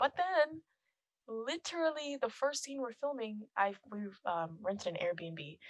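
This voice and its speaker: A woman speaks quietly, her pitch swinging very widely. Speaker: film composer and musician. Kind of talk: casual chat. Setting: podcast recording.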